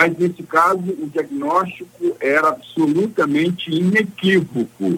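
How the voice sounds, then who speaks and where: A high-pitched man, fairly slow yet with hardly any pauses, and ordinary pitch variation. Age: 60s. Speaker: lawyer. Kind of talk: radio interview. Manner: formal.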